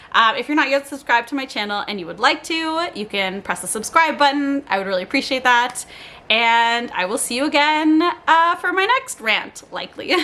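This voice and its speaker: In a raised, projected voice, a woman sounds animated, her high pitch making very wide swings. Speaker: lifestyle vlogger. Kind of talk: casual monologue. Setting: home, on living room floor. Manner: fast.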